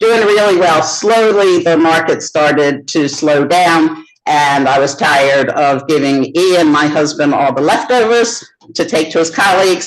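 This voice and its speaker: A woman with an American accent speaks at a fairly slow pace in a very deep, low voice, with ordinary pitch variation and very even loudness. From United States. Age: 60s. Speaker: baker and business founder. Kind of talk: interview.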